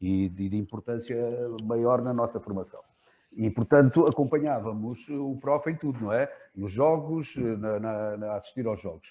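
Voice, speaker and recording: Medium in pitch and moderate in pace, a man speaks with ordinary pitch variation. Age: 60s. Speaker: basketball coach, moderator. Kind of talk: Q&A question. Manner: halting.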